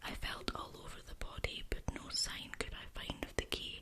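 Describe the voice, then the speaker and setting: A woman whispering at a moderate pace amid noticeable background noise. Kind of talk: whispered ASMR story reading. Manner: whispering, soft.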